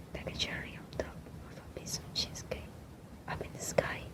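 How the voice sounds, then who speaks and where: Someone whispers. Behind the voice there is noticeable noise. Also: woman. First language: not English. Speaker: ASMR creator, book reader. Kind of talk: ASMR book reading, bedtime. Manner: soft, whispered, relaxing.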